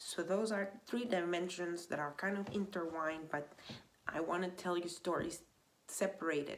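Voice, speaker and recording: The speaker is a woman with a medium pitch. She talks at a moderate pace. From Venezuela. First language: Spanish. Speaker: vlogger. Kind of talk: casual monologue. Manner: animated; halting.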